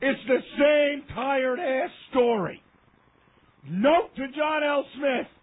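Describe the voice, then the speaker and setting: Loud and shouting, a man's extremely high voice moves at a very slow pace with long, frequent pauses and ordinary pitch variation. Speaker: sports radio host. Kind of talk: heated rant. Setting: radio studio. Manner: loud, yelling.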